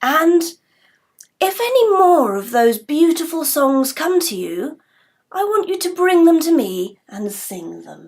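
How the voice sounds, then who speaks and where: A woman puts on a character voice at an extremely high pitch, moving fairly slowly. Her pitch swings very widely and her loudness rises and falls sharply. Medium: stage play. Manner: warm, measured.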